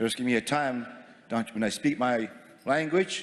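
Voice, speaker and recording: With a Maritime Canadian accent, a man speaks at a moderate pace. His intonation is lively. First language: Mi'kmaq. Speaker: First Nations chief. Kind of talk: formal assembly speech. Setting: assembly floor microphone with interpretation booths.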